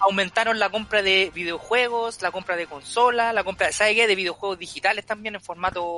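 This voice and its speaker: A man with a Chilean accent speaks in a raised, projected voice at a high pitch. His pace is fairly quick with hardly any pauses and fairly even intonation. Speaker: podcast co-host. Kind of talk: casual chat. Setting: remote recording.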